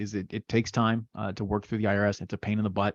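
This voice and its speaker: Against a quiet background, a man with a medium pitch speaks in a dry, close sound with no echo. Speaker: webinar presenter teaching sales outreach. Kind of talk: webinar presentation with Q&A. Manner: fast; casual, repetitive fillers.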